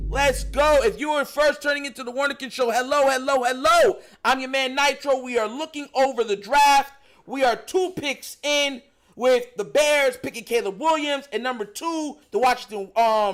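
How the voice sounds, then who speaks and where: A man speaks in an extremely high voice with an animated tone and ordinary pitch variation. The recording is very clean, with a silent background. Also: moderate pace. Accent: New York. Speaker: sports streamer. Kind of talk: live commentary. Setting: live stream.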